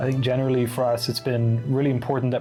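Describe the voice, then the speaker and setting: Over music in the background, a man talks at a very fast pace in a medium-pitched voice with monotone, flat intonation. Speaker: game developer. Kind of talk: casual interview answer.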